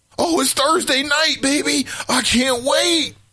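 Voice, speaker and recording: A man does a put-on character voice, pitched extremely high and delivered at a fairly slow pace. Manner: giddy, excited.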